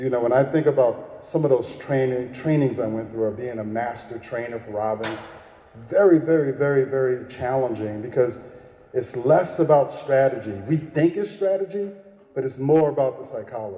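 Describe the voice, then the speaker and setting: A man at a medium pitch with an American accent, with audible room echo and noticeable background noise. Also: ordinary pitch variation, moderate pace. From Texas. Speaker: keynote speaker and business coach. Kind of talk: keynote speech. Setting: stage with audience. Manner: animated.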